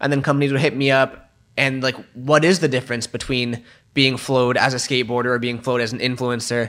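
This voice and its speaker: With an American accent, a man talks very fast in a bright, sharp tone at a medium pitch, his intonation fairly even. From California (Santa Cruz). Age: 20s. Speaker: skateboarder and gaming YouTuber. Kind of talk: casual chat. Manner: casual, filler-heavy.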